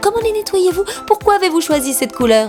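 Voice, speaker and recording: Music plays in the background as a woman talks at a fairly quick pace. Her tone is upbeat, and her pitch swings very widely. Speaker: voice-over narrator. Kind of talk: educational awareness explainer narration. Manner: lively, conversational, upbeat.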